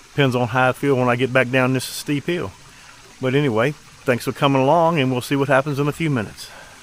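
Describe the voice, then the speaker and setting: Very fast pace from a man with an American accent, medium pitch, fairly even intonation, and noticeable background noise. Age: 60s. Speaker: outdoor vlogger, fisherman. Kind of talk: casual vlog narration. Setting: outdoors, mountain stream; outdoors, by his truck. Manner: casual, halting with fillers.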